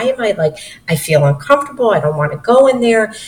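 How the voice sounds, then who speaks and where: A woman speaks at a fairly quick pace with a fairly high pitch over noticeable background noise. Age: 50s. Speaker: investment company founder. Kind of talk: interview. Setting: video call.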